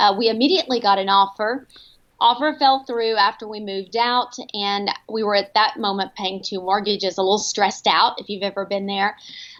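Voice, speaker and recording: A woman with a Texan accent, medium pitch, fairly even intonation and a fairly quick pace. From Texas, Paris. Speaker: home staging company owner. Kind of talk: interview.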